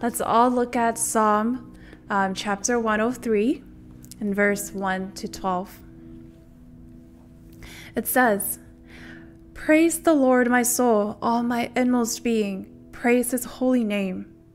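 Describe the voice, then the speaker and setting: Faint music plays behind a very slow voice full of long, frequent pauses, its pitch varying in an ordinary way. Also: woman. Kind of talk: scripture reading and welcome. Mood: warm, festive. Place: home room. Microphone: studio mic.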